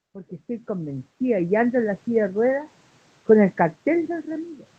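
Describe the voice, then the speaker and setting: Fairly high in pitch, a woman speaks at a moderate pace with a dark, mellow, somewhat breathy tone. Her pitch swings very widely and her loudness shifts in big swings. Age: 60s. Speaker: human rights activist. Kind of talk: interview. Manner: animated.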